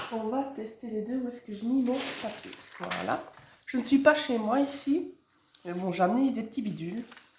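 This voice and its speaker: A woman speaks at a high pitch with ordinary pitch variation and big swings in loudness. Audible room echo surrounds her voice. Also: moderate pace. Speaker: card-making crafter. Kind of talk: casual crafting tutorial. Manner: casual, chatty.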